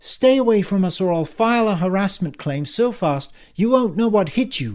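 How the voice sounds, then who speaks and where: A put-on character voice from a man, high in pitch and hissing, with lively intonation at a moderate pace, in a very clean recording with a silent background. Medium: read story. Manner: hissing, intense.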